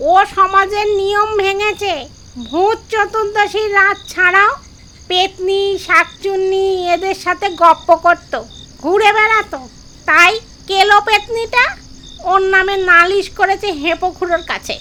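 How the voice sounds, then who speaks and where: Someone uses a put-on character voice and talks at a very slow pace. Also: woman, extremely high pitch for a woman. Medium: read story.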